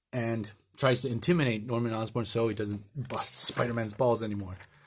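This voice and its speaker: A man with a Spanish accent speaks at a fairly quick pace, his voice somewhat breathy. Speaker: comic book reviewer. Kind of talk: casual video review. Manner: halting, with many fillers and restarts.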